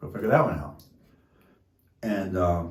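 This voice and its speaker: At a fairly slow pace, a somewhat breathy man with a fairly low pitch talks amid audible room echo. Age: 60s. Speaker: derailment-affected resident. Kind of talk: testimony.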